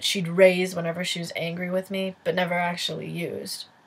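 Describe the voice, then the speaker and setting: Somewhat breathy, a woman with a medium pitch talks at a very fast pace. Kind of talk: personal essay reading. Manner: mumbling at times.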